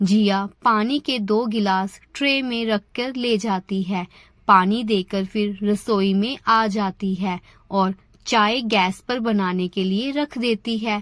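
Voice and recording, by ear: A woman's fairly bright voice at a slow pace, with few pauses and fairly even intonation. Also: medium pitch for a woman.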